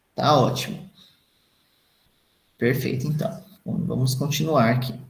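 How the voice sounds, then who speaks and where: In a room with audible echo, a man with a medium-pitched voice and vocal fry speaks at a fairly slow pace with ordinary pitch variation. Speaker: dentist lecturer. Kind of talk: lecture.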